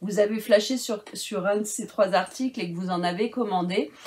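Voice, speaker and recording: A woman talks fairly slowly in a somewhat breathy, fairly high-pitched voice. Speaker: crafting YouTuber. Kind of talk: product review vlog. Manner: hesitant, many fillers.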